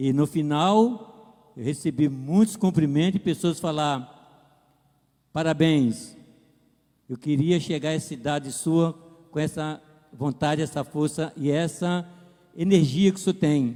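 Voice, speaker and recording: A man's fairly high voice with a dark, mellow tone, ordinary pitch variation, a fairly slow pace and long, frequent pauses, in a very clean recording with a silent background. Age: 60s. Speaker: pastor. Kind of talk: testimony.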